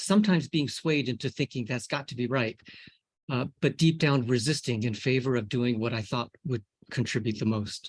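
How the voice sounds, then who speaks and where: A man speaks with an American accent at a moderate pace, his voice somewhat breathy. The sound is dry and close, with no echo. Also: medium pitch for a man, ordinary pitch variation. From US. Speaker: scientist. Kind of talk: lecture. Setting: video call.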